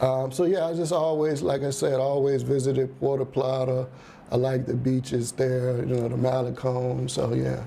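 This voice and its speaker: With a Southern US accent, a man talks at a medium pitch and a moderate pace. His intonation is fairly even, and audible room echo surrounds him. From Virginia, Richmond. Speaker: musician and expat. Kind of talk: interview. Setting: TV studio interview.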